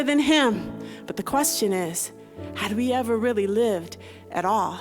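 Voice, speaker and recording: Over background music, a woman talks at a fairly slow pace and fairly high pitch with ordinary pitch variation. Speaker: spoken word poet. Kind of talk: spoken word poetry performance.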